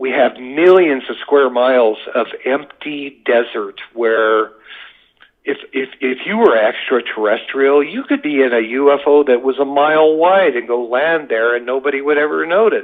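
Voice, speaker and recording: With an American accent, a man talks at a moderate pace in an ordinary speaking voice. His pitch is fairly high, with ordinary pitch variation. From US West, Las Vegas, Nevada. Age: 60s. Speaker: UFO witness. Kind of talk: podcast interview.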